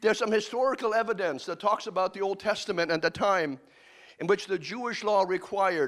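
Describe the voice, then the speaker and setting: At a moderate pace, a man speaks in a high pitch on a very clean recording with a silent background. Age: 60s. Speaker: pastor. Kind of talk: sermon.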